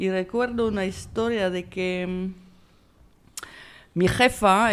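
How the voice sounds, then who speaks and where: The speaker is a woman. She has a French accent. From France. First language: French (speaking Spanish). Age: 50s. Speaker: film director. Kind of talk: interview. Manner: halting.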